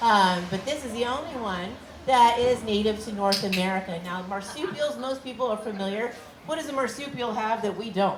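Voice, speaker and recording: Over noticeable background noise and audible room echo, a woman speaks at a fairly quick pace with a fairly high pitch and ordinary pitch variation. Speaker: animal care presenter. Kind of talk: live educational talk to audience. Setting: outdoor stage with audience. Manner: fast; friendly, animated.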